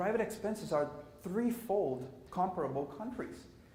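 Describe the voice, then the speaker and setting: A man's lively intonation with audible room echo. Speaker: conference presenter. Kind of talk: conference presentation. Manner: fast.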